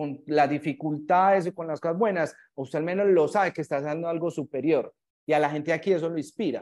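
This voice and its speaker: A man's high-pitched voice with a Paisa Colombian accent, very fast, with ordinary pitch variation, over a quiet background. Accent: Colombian paisa Spanish (voseo). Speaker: startup founder. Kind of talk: casual chat.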